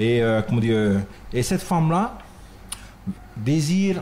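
Over light background noise, a man talks at a very slow pace with very even loudness and very wide pitch swings. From French Polynesia. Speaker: dance troupe leader; guest. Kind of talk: radio interview. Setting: radio studio. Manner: halting, many repetitions. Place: studio. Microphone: studio mic.

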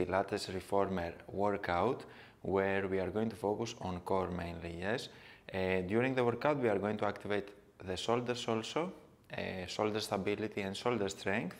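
A man talks in a normal speaking voice at a fairly low pitch. His pace is moderate, with ordinary pitch variation. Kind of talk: tutorial. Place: empty room.

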